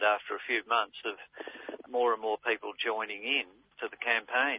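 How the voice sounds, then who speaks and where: A man talks with an Australian accent. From Melbourne, Australia. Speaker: community activist. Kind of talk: interview.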